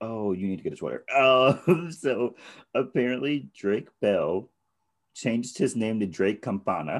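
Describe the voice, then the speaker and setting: A man talks in a normal speaking voice at a medium pitch. He moves at a fairly slow pace with lively intonation. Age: 20s. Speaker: podcast co-host. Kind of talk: casual chat.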